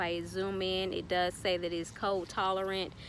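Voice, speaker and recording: A woman speaks in a Southern US accent. Her pitch sits in the medium range. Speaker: gardening YouTuber. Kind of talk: tutorial. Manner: casual, filler-heavy.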